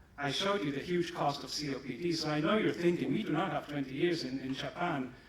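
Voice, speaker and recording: A man with a German accent speaks at a fairly high pitch and a moderate pace. Room echo is audible, along with noticeable background noise. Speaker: pharmaceutical company executive. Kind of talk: conference presentation.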